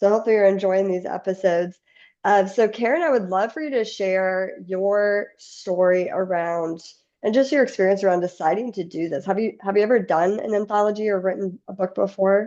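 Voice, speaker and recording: In an Indiana accent, a woman speaks at medium pitch in a dark, mellow tone, with ordinary pitch variation. Her pace is fairly quick and the background quiet. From US Midwest, Indiana. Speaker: podcast host. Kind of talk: podcast interview. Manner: enthusiastic.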